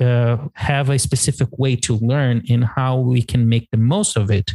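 A man with a Portuguese accent speaks fairly slowly in a dark, mellow, somewhat breathy voice of medium pitch. The sound is dry and close, with no echo. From Brazil. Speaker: English teacher and podcast co-host. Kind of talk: casual chat.

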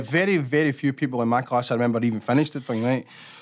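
With a Glaswegian accent, a man talks at a very fast pace. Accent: Glaswegian Scottish. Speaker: podcast host. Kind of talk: casual chat.

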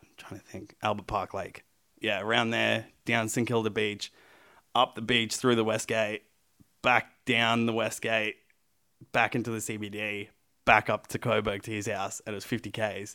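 A man with an Australian accent speaks in a bright, sharp tone at a fairly low pitch. His intonation is monotone and flat, and his pace is moderate. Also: big swings in loudness, very clean recording, silent background. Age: 20s. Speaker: pro wrestler. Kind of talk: casual interview chat.

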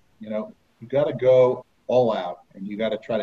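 In an American accent, a man talks with a dark, mellow tone that is somewhat breathy. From New Jersey. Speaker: author and former amusement park lifeguard. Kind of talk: interview.

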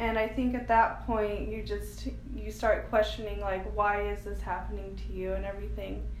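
A woman speaks over noticeable background noise. The room adds an audible echo. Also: moderate pace. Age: 20s. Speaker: foster care survivor sharing her story. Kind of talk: testimony.

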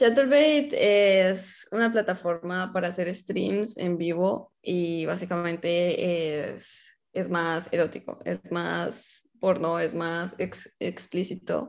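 Over a quiet background, a woman speaks very slowly at a fairly low pitch, with ordinary pitch variation and hardly any pauses. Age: 20s. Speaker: content creator. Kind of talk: casual chat.

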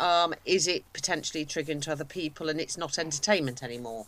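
Lively intonation from a woman with a normal speaking voice at a fairly quick pace. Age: 50s. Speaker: podcast co-host. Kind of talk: casual chat.

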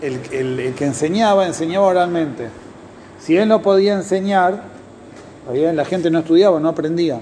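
A man's high-pitched voice moves at a moderate pace with ordinary pitch variation and long, frequent pauses. Audible room echo and noticeable background noise surround him. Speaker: Talmud teacher. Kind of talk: lecture.

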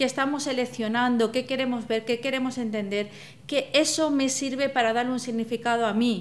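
A woman's high voice at a fairly quick pace, with fairly even intonation. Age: 40s. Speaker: psychologist. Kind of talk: casual chat.

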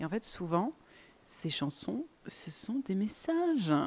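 A calm, somewhat breathy woman's voice with very wide pitch swings. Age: 20s. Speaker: podcast host. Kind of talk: solo podcast monologue.

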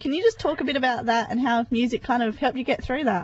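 A woman talks at a fairly quick pace in an Australian accent. Her pitch is high. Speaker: radio host. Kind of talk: casual radio interview. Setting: radio studio, phone interview.

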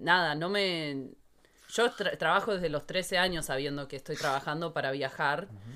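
This woman's pitch is very deep and low, with a bright, sharp tone and lively intonation. The recording is very clean with a silent background. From Argentina. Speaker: podcast co-host. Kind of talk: casual chat.

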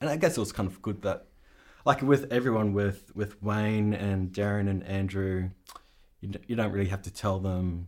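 This man speaks with an Australian accent at a moderate pace, his fairly low pitch showing ordinary variation. He leaves long, frequent pauses. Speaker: sound supervisor. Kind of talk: casual interview.

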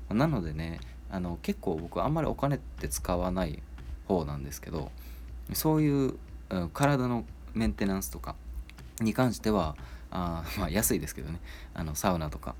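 Very wide pitch swings mark this man's very deep, low voice, which carries vocal fry and moves at a moderate pace with long, frequent pauses. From Kansai, Japan. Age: 30s. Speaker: podcast host. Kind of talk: casual solo talk.

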